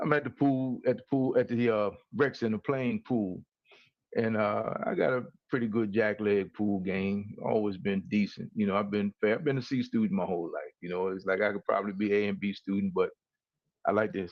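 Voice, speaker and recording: At a fairly quick pace, an ordinary speaking voice shows ordinary pitch variation. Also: man, fairly low pitch for a man. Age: 60s. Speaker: co-host of talk show. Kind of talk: casual chat. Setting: livestream.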